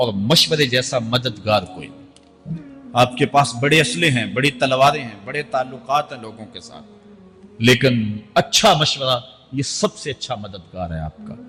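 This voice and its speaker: With music in the background, a man speaks in a passionate tone with lively intonation and big swings in loudness. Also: medium pitch for a man. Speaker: Islamic scholar giving a sermon. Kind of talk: religious sermon (bayan) delivered to a live audience. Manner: passionate, emphatic, oratorical.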